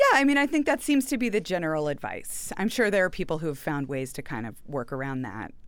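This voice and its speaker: Speaking very fast in an American accent, a woman uses a fairly low pitch with very wide pitch swings against noticeable background noise. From Houston, Texas. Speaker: novelist. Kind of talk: interview.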